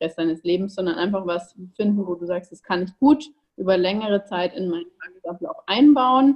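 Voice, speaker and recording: A woman talks in a plain, everyday voice at a medium pitch. Her pace is moderate, with ordinary pitch variation. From Bavaria, Ingolstadt. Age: 20s. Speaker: online nutrition coach. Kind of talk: interview.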